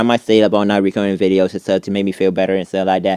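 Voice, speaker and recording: A man's fairly low voice with a dark, mellow tone and a dry, close sound with no echo. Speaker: content creator. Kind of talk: casual vlog monologue. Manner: rambling, hesitant with repetitions.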